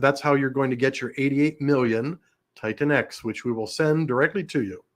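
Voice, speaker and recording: The recording is very clean, its background silent. In it, a man talks with a fairly high pitch. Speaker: crypto community livestream host. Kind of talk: livestream chat. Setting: livestream.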